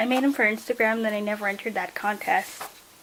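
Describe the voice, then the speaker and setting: A woman speaks over noticeable background noise. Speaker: art vlogger. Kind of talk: casual sketchbook flip-through. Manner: casual, filler-heavy.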